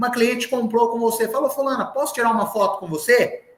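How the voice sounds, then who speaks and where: With an extremely high pitch and ordinary pitch variation, a man is talking. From southern Minas Gerais, Brazil. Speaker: sales trainer. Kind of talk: live online sales training. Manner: animated.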